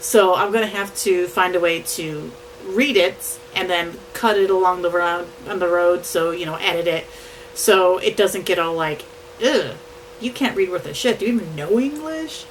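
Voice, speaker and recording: Someone speaks at a moderate pace with lively intonation over noticeable background noise. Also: woman, medium pitch for a woman. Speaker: vlogger and aspiring novelist. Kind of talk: casual vlog update. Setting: home office, on camera.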